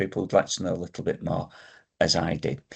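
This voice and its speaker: The speaker has a Yorkshire accent and a voice marked by vocal fry. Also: man, quiet background. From northern England, Yorkshire. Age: 60s. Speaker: vlogger sharing health experience. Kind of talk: casual personal vlog. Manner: hesitant, with frequent ums.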